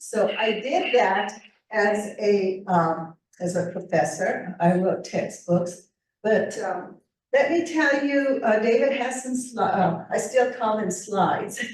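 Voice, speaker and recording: A woman speaks at a very slow pace with lively intonation and medium pitch. Audible room echo surrounds her voice. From northern New Mexico. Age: 70s. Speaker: author and retired sociology professor. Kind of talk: presentation to writers' group.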